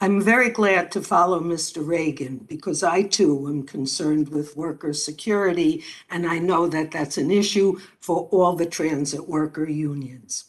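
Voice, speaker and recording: In an American accent, a woman with an unremarkable speaking voice talks at a moderate pace, fairly low in pitch, with ordinary pitch variation. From New York. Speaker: former police officer, policy fellow. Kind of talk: prepared testimony.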